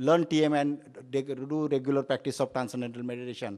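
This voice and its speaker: A man's fairly high voice at a moderate pace. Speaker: Ayurvedic doctor. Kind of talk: conference talk. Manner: halting, many fillers.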